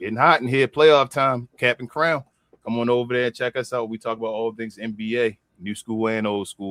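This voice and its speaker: In a Baltimore accent, a man talks at a very fast pace and medium pitch with fairly even intonation, in a dry, close sound with no echo. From Baltimore, Maryland. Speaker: wrestling podcast host. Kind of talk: casual show outro.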